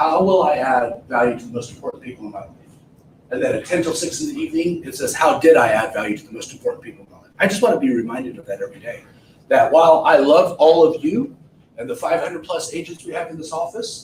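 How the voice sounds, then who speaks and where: This man talks at a very fast pace. His loudness swings widely. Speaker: real estate trainer. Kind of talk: seminar talk. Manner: animated.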